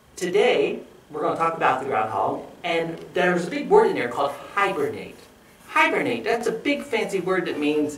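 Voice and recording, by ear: The text is read aloud in a natural voice.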